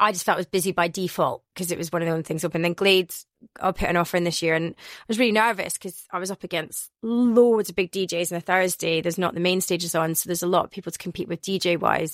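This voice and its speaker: A woman speaks very fast in a Glaswegian accent. The sound is dry and close with no echo, on a very clean recording with a silent background. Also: fairly low pitch for a woman, hardly any pauses. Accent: Glaswegian Scottish. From Scotland, Glasgow. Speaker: radio and club DJ. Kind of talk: interview. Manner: animated.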